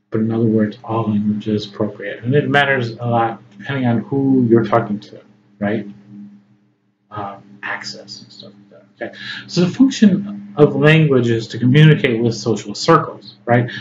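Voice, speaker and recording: Here a man with an American accent talks at a moderate pace and a medium pitch. His voice is somewhat breathy, with ordinary pitch variation. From US Midwest, Chicago. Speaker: English tutor. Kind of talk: tutorial. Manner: halting, many fillers.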